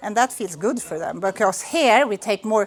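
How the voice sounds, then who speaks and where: A woman is speaking. She has a Swedish accent. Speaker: school principal. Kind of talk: presentation to visitors. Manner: halting.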